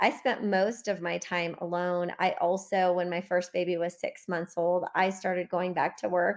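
A woman with an American accent and an ordinary speaking voice, fairly low in pitch, at a moderate pace with fairly even intonation and hardly any pauses, on a very clean recording with a silent background. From US Midwest. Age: 40s. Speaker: business coach. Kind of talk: interview.

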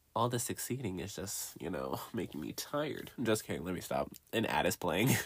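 An animated man's voice, fairly low in pitch with vocal fry, very wide pitch swings and a fairly quick pace, on a very clean recording with a silent background. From US South, Johnson City, Tennessee. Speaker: podcast host. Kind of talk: casual chat. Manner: animated, laughing often.

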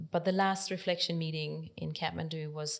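A woman with a Danish accent, a very deep, low pitch and monotone, flat intonation. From Denmark, countryside. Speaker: nonprofit library director. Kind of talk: interview.

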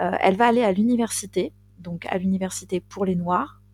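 In a normal speaking voice, the delivery comes at a fairly slow pace with fairly even intonation. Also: woman. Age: 40s. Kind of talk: casual storytelling chat.

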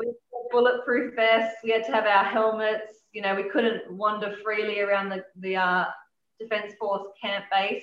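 A woman's fairly high, monotone voice with flat intonation at a moderate pace. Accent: Australian. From Adelaide, South Australia. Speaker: rock drummer. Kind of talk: casual interview.

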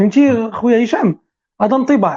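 Her voice comes out somewhat breathy. The woman keeps a moderate pace. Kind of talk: casual chat.

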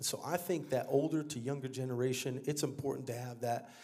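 A man with an American accent speaks at a fairly quick pace in an animated tone, his voice somewhat breathy. His pitch varies in an ordinary way, and the room echo is audible. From Texas, San Antonio. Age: 30s. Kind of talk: testimony. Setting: church.

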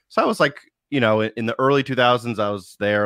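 Over a quiet background, a man talks at a fairly quick pace in an ordinary speaking voice with ordinary pitch variation. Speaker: podcast guest, content creator. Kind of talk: casual chat about video games.

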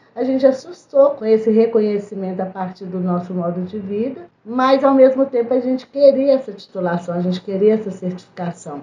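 With noticeable noise behind it, the speech moves at a moderate speed with lively intonation. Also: woman. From Brazil, Belo Horizonte. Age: 50s. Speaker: community political organizer. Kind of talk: interview.

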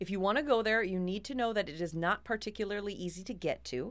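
A woman with an American accent talks at a moderate pace and medium pitch. The recording is very clean, with a silent background. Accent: Minnesotan, others tease it. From Minnesota. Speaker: podcast co-host. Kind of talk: casual chat with storytelling.

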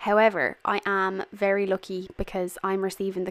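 A woman with an Irish accent speaks at a medium pitch. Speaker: podcast host. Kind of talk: casual monologue. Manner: animated.

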